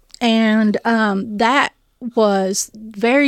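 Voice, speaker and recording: A woman speaks at a medium pitch in a Southern US accent with monotone, flat intonation. The recording is very clean with a silent background, dry and close with no echo. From Tennessee, East Nashville. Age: 50s. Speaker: food bank director. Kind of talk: interview, personal testimony. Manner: halting.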